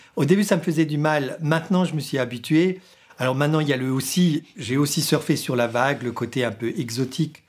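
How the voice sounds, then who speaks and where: On a very clean recording with a silent background, a man with an Alsatian accent speaks at a fairly quick pace and fairly high pitch, with ordinary pitch variation. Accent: Sundgau Alsatian. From Sundgau, southern Alsace, France. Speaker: radio programme director. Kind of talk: interview monologue. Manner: halting, with many hesitations.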